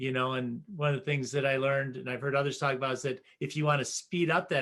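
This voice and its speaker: An ordinary speaking voice at a fairly quick pace with fairly even intonation. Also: man. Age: 60s. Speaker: podcast host, educator coach. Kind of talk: interview conversation.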